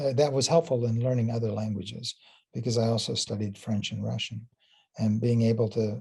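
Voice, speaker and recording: A man speaks at a fairly quick pace and medium pitch with fairly even intonation. His tone is dark and mellow, and somewhat breathy. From US, Illinois, Puerto Rican family. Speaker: physics professor. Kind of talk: interview. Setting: student interview. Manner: hesitant, repeats words.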